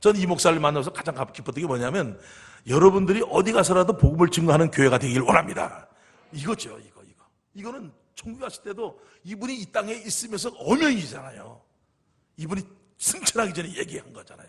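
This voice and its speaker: The speaker goes very fast in an animated tone, the pitch swinging very widely and the loudness rising and falling sharply. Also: man, high pitch for a man. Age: 60s. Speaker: pastor. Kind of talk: sermon. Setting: church.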